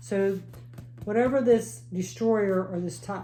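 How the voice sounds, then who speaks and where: A woman's medium-pitched, somewhat breathy voice with a dark, mellow tone, very wide pitch swings and a fairly slow pace, plus audible room echo. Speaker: tarot reader. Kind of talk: tarot reading. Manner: halting, self-correcting.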